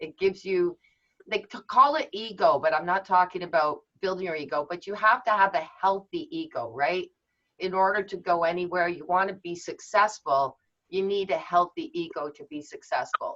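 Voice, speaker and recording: Her tone bright and sharp, a woman of medium pitch speaks at a moderate pace with lively intonation and big swings in loudness. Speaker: handwriting analysis instructor. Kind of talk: online workshop lecture. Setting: video call.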